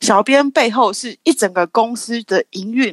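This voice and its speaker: A normal speaking voice from a woman with a fairly high pitch carries lively intonation, the sound dry and close with no echo. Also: quiet background. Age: 30s. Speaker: marketer for a skincare brand. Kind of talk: casual interview chat.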